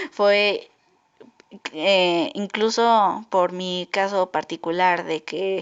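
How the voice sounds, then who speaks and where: Pitch moves in an ordinary way. The delivery is very slow. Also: woman, medium pitch for a woman. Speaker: podcaster. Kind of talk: casual podcast monologue. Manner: halting.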